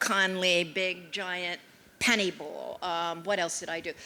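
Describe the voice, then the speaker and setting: Her tone is bright and sharp, and this woman's intonation is monotone and flat. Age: 80s+. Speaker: art collector. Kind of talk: panel talk. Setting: stage with audience. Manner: halting.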